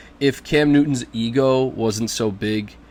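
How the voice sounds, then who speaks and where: Ordinary pitch variation marks a man's speech at a medium pitch. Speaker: fantasy football YouTuber. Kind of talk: casual vlog commentary. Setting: living room at home. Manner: hesitant, many filler words.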